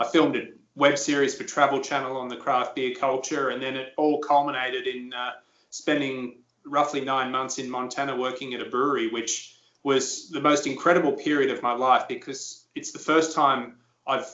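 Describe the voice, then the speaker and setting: A man with a fairly high pitch speaks at a moderate pace. His intonation is monotone and flat. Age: 30s. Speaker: former pro golfer and broadcaster. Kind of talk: interview.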